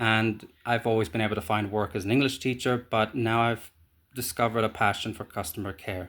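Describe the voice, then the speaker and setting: Heard on a very clean recording with a silent background, a man with an Irish accent speaks at a fairly quick pace, with a fairly low pitch and fairly even intonation. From Ireland. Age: 30s. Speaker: job applicant. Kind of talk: video job application self-introduction. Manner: hesitant, many fillers.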